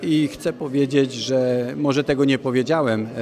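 A man's medium-pitched voice at a very slow pace, with fairly even intonation over light background noise. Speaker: council chairman, local councillor. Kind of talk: interview statement. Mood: earnest, calm. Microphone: handheld.

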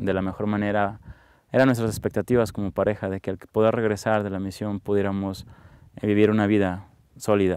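A man talks at a moderate pace in a fairly low, dark, mellow voice. The sound is dry, with no echo. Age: 30s. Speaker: interviewee. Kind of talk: testimony. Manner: halting. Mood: calm, reflective, warm. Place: open country.

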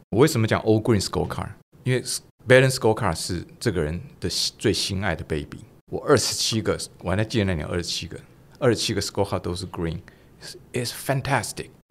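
With lively intonation and long, frequent pauses, a man talks at a fairly quick pace in a fairly low voice. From Taiwan. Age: 60s. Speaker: retired business executive; podcast guest. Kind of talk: interview. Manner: animated. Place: studio. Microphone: studio mic.

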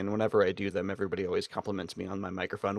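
The speaker is a man. Nothing can be heard behind him. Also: dry sound with no echo. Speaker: podcast co-host. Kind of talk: casual podcast chat. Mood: relaxed, joking. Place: home room. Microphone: studio mic.

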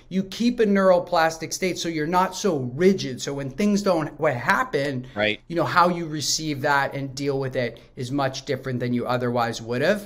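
A man speaks at a moderate pace with lively intonation and hardly any pauses. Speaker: remote podcast guest. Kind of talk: interview answer. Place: home room. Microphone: earbuds.

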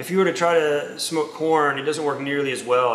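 A man talks at a fairly quick pace with audible room echo and light background noise. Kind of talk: interview answer. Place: bar.

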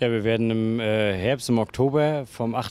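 Heard in a dry sound with no echo, a man speaks with a dark, mellow tone and fairly even intonation. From Mecklenburg-Vorpommern, northeastern Germany. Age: 20s. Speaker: goalball player and team captain. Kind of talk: interview. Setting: hotel with panorama view. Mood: calm, friendly. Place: open country. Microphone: handheld.

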